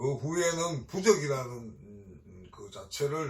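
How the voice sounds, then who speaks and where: Somewhat breathy and medium in pitch, a man talks with lively intonation while audible room echo surrounds him. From Gyeongsang region, South Korea. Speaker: Buddhist exorcist priest. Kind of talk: dharma talk. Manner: hesitant fillers.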